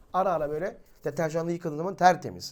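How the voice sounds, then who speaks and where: A man talks at a very fast pace. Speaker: religious teacher and YouTuber. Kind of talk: religious talk to viewers. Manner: animated.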